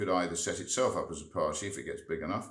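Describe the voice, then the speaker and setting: Audible room echo surrounds a man whose voice is very deep and low-pitched. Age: 60s. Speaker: member of parliament. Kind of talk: interview. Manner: halting, repeats words.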